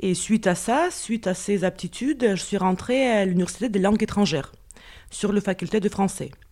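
A woman's medium-pitched voice with a dark, mellow tone, ordinary pitch variation, very even loudness and a moderate pace. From Russia. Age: 40s. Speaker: interview guest, expatriate mother. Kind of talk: personal testimony. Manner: hesitant, with fillers.

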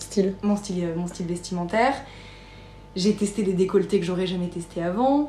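Long, frequent pauses break up a woman's moderate-paced speech. Her pitch is medium, with ordinary variation. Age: 20s. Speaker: podcast guest. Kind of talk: personal interview testimony. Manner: hesitant, many fillers.

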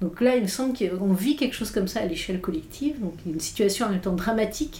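A woman with a fairly high voice talks over noticeable background noise. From Irish mother, multilingual upbringing. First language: English (speaking French). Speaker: philosopher and author. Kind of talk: interview conversation. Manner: halting, many hesitations.

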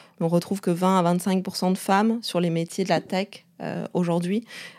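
Speaking at a fairly slow pace, a woman with a medium pitch holds a monotone, flat intonation on a very clean recording with a silent background. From China. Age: 30s. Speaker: startup co-founder. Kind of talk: interview. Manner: halting.

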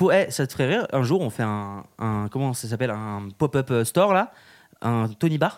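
On a very clean recording with a silent background, a man with an unremarkable speaking voice talks at a moderate pace, using a medium pitch and lively intonation. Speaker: podcast host. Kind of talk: casual chat. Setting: live from hotel at ski resort.

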